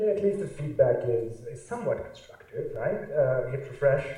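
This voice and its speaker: A man speaks with a Pakistani accent. Room echo is audible. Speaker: artist. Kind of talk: lecture. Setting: stage with audience. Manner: halting.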